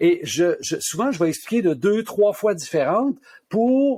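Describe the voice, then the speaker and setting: Speaking fairly slowly in a Quebec accent, a man uses a high pitch with very wide swings. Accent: Québécois French. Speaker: pharmacist and author. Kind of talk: interview.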